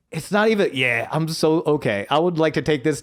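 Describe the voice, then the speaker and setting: A man with a Buffalo accent talks at a fairly quick pace, with ordinary pitch variation. The recording is very clean, with a silent background. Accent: Buffalo, New York. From Buffalo, New York.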